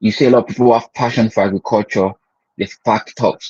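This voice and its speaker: The sound is dry and close with no echo. A man at medium pitch speaks with a Nigerian accent and ordinary pitch variation. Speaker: agribusiness educator. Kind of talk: online class. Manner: halting, with many repeated words.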